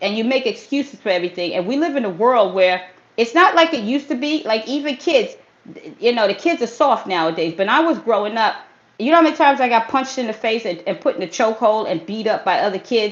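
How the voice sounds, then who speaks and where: A woman's fairly high, animated voice at a very fast pace, with lively intonation. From US Northeast, Brooklyn, New York. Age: 50s. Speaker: fitness trainer. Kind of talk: motivational livestream talk. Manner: casual street slang.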